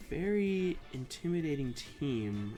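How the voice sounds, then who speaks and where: A man with lively intonation over music in the background. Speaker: Pokemon draft league player. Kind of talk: gameplay commentary. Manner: hesitant, many filler words.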